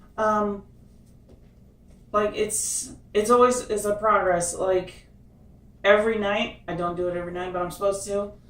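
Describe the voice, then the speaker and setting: Pausing long and often, a woman talks at a moderate pace with fairly even intonation amid audible room echo. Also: medium pitch for a woman. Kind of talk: casual chat. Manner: halting.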